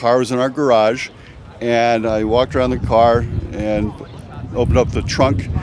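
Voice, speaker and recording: The delivery is monotone and flat, at a moderate pace. Long, frequent pauses appear, and background noise is noticeable. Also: man, medium pitch for a man. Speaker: classic car owner. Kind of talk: interview.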